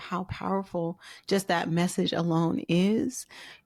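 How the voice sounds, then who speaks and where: A woman with an American accent has a plain, everyday voice and ordinary pitch variation. The recording is very clean, with a silent background. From US West Coast (Oakland, California). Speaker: podcast host. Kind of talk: interview.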